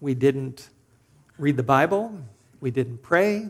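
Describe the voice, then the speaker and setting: A man talks at a moderate pace in a Californian accent. His fairly high voice has lively intonation. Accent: General American (Californian). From Southern California. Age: 50s. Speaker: preacher. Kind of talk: sermon.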